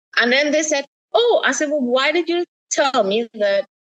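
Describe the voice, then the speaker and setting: Spoken at a moderate pace with lively intonation in a Caribbean accent, the voice has a dry, close sound with no echo. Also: woman. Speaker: writer and poet. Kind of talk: podcast interview.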